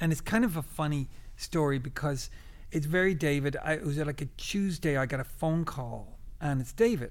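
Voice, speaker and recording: Speaking at a moderate pace with a Dublin accent, a man uses a fairly high pitch and ordinary pitch variation. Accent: Irish (Dublin). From Ireland, Dublin. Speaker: guitarist and producer. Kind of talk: interview.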